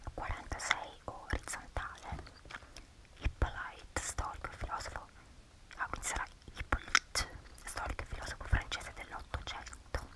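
Whispering at a moderate pace, a woman uses a relaxed, playful tone with long, frequent pauses. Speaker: ASMR YouTuber. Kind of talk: ASMR soft spoken casual talk while doing a crossword. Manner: soft-spoken, relaxed, playful.

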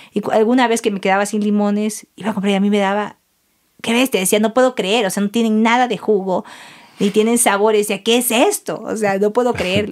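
Her pitch is fairly high, and this woman speaks at a fairly quick pace. The intonation is monotone and flat. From southern Ecuador, El Oro province (Santa Rosa). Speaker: cacao farmer and ceremonial chocolate maker. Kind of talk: casual interview conversation.

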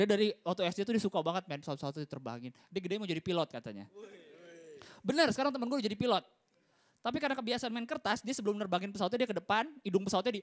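Very fast, animated speech from a man with a high pitch and lively intonation. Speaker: stand-up comedian. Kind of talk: stand-up comedy. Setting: stage with audience. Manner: animated, crowd-teasing, punchline-driven delivery; casual Jakarta slang, conversational. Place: stage. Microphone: handheld.

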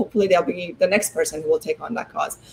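A woman speaks in a somewhat breathy voice with ordinary pitch variation. Light background noise can be heard. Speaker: law professor and development expert. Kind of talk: interview. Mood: earnest, reflective. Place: home room.

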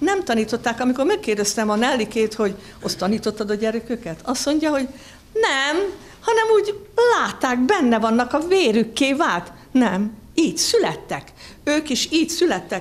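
A woman speaks at a moderate pace in a high pitch. Her voice makes very wide pitch swings. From Hungarian countryside. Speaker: ceramic artist giving opening speech; speaker. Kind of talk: ceremonial opening speech. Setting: museum exhibition opening with audience. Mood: warm, a bit nervous. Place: hall. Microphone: podium.

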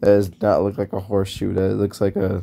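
His voice has a dark, mellow tone and sits fairly low in pitch for a man. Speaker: YouTuber. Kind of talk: casual drawing commentary. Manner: rambling, halting.

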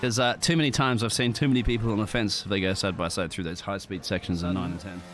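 Music plays in the background while a man speaks very fast with lively intonation. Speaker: esports race commentator. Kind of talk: live race commentary, co-commentator analysis. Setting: recorded commentary over race footage. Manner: excitable, rapid-fire, punchy.

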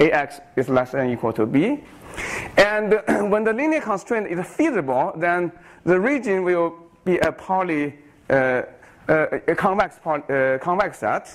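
A man with a Chinese accent speaks in a high voice with very wide pitch swings. His pace is fairly slow, with long, frequent pauses. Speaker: professor. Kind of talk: lecture. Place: hall.

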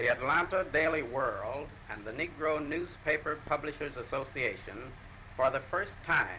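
A man with an ordinary speaking voice and an American accent, fairly high pitch, ordinary pitch variation, moderate pace, and light background noise. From United States. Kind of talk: formal prepared statement for a newsreel. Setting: 1940s newsreel recording. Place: office. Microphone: old recording.

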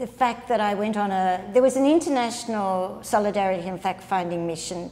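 At a fairly quick pace, a woman of medium pitch talks with an Australian accent and ordinary pitch variation. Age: 70s. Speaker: nun. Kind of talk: interview answer. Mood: calm, earnest. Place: home room. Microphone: lapel.

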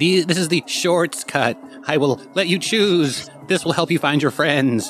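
A man speaks at a fairly slow pace in a put-on character voice, pitched fairly high. Clear music plays in the background. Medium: actual play. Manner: calm, earnest.

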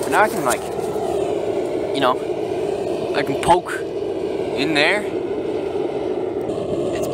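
Speech comes at a very slow pace with long, frequent pauses, the sound dry with no echo and the background noise loud. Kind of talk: casual vlog chat. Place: garden. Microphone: phone near.

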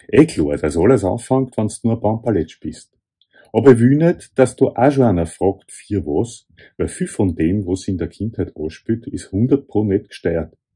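Over a quiet background, a man with a fairly low voice speaks at a moderate pace, somewhat breathy, his tone dark and mellow. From Vienna, Austria. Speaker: author. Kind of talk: author reading from own essay. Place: home room. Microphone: phone near.

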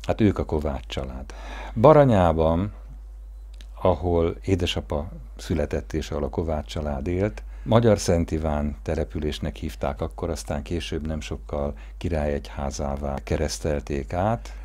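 A man's very deep, low voice with very wide pitch swings, at a fairly slow pace. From Hungary. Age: 50s. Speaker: family storyteller narrating a documentary. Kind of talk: personal memoir narration; interview answer. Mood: warm, reminiscing. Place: garden.

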